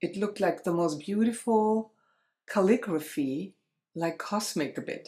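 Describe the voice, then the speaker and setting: With a German accent and a dark, mellow tone, the speaker talks at a fairly slow pace on a very clean recording with a silent background. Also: woman, medium pitch for a woman, ordinary pitch variation. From Germany. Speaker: spiritual coach and light language practitioner. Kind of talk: interview storytelling.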